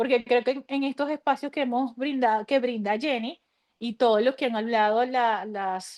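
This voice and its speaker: A woman uses a normal speaking voice at a moderate pace against a quiet background. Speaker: mental health speaker. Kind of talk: online workshop talk.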